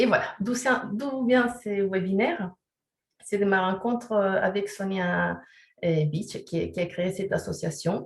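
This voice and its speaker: Very slowly and with big swings in loudness, a woman speaks at a medium pitch in a somewhat breathy voice. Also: ordinary pitch variation. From Chile. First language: Spanish (speaking French). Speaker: sexology and resilience counselor. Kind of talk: webinar presentation. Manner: hesitant, many fillers.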